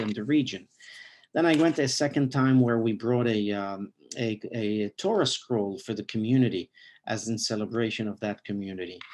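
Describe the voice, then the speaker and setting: A man with an Arabic accent talks at a moderate pace with ordinary pitch variation. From Lebanon (Beirut). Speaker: rabbi. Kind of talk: interview. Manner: halting, many fillers.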